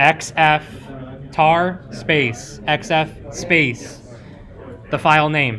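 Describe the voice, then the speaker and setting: A man's loud shouting at a fairly high pitch, with audible room echo and noticeable background noise. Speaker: cybersecurity workshop instructor. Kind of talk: live workshop tutorial. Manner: loud, yelling over the room.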